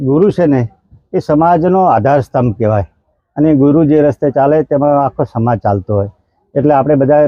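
This is an unremarkable speaking voice with ordinary pitch variation. Its loudness stays very even. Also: man. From Banaskantha, north Gujarat. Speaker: retired school teacher. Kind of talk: interview.

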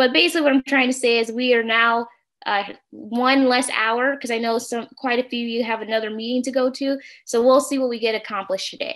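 A woman talks very fast at a high pitch over a quiet background. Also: fairly even intonation. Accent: American. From St. Louis, Missouri, US. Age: 30s. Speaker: workshop facilitator. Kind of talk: interactive workshop on video call. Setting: video call. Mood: warm, friendly. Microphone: video call.

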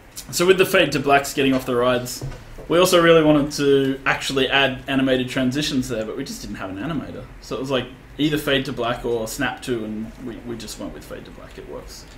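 Over light background noise, a man speaks at a very fast pace with big swings in loudness. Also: ordinary pitch variation. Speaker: game creative director; game developer streamer. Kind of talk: live gameplay commentary. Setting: livestream. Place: office.

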